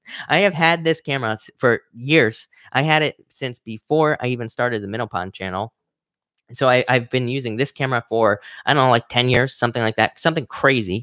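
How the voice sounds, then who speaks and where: At a fairly quick pace, a bright, sharp voice moves with ordinary pitch variation, recorded very cleanly against a silent background with a dry, close sound and no echo. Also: man, medium pitch for a man. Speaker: online course creator and YouTuber. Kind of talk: live stream Q&A. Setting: live stream on camera. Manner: halting, many fillers.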